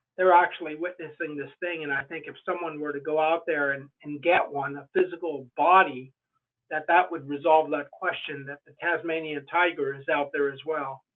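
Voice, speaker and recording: This man has an ordinary speaking voice, fairly high in pitch, with fairly even intonation and big swings in loudness. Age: 60s. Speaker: Bigfoot researcher and author. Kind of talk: podcast interview.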